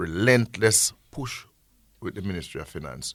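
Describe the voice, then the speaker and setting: Vocal fry marks a man's voice as he talks at a fairly slow pace with lively intonation. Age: 60s. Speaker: agency executive director. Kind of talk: radio interview. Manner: halting.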